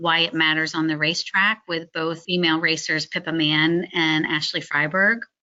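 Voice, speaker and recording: With an unremarkable speaking voice, a woman talks at a moderate pace in a fairly low pitch. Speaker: motorsport driver education committee chair. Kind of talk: webinar presentation. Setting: online webinar.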